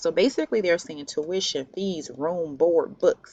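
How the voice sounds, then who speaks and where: A woman is speaking. Her pace is moderate. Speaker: college advisor. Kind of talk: tutorial. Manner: hesitant, many fillers.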